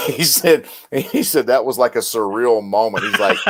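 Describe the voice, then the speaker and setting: A man of medium pitch with a Southern accent, lively intonation and a moderate pace. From US South, Mississippi. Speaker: military veteran and combat medic. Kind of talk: casual chat.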